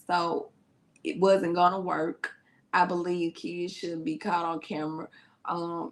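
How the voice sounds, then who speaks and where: A woman with a Memphis accent, at a very slow pace. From US South (Memphis, Tennessee). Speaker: youtube reaction host, therapist. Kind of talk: live reaction chat. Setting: livestream.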